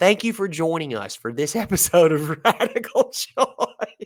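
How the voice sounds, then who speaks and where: In an American accent, a man speaks in a high pitch with very wide pitch swings, on a very clean recording with a silent background and a dry, close sound with no echo. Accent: country twang, stronger than usual today. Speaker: podcast host. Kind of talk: casual chat and episode outro. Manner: louder than usual; animated.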